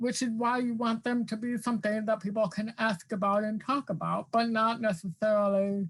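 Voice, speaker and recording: A woman's somewhat breathy, fairly high voice at a moderate pace, with fairly even intonation. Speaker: academic guest speaker on access. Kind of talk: virtual staff meeting discussion. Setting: video call. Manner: many fillers, some repetitions.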